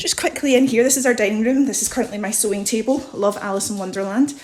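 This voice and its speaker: Amid noticeable background noise, a woman with a fairly high voice talks at a very fast pace with ordinary pitch variation. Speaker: home video vlogger. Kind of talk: house tour. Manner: animated.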